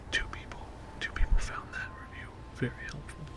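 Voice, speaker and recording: Someone whispers over noticeable background noise. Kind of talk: ASMR whispered reading of online reviews. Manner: whispered; soft-spoken.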